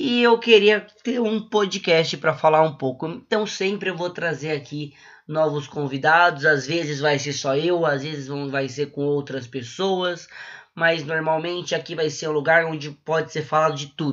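Speaking with a Brazilian accent, a man with a fairly high pitch keeps a moderate pace and ordinary pitch variation. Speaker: podcast host. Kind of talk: casual chat.

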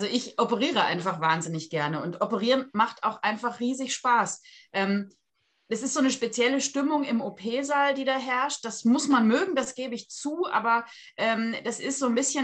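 This woman's voice is high, with ordinary pitch movement and a moderate tempo. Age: 40s. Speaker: surgeon. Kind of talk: interview.

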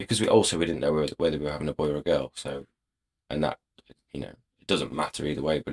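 The speaker has an English accent, vocal fry and ordinary pitch variation. The sound is dry and close, with no echo. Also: man. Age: 30s. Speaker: racehorse rider. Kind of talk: casual chat.

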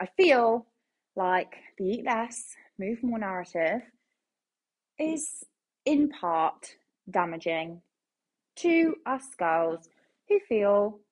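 A woman's robotic, put-on character voice at medium pitch, very slow and broken by long, frequent pauses. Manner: robotic, stiff.

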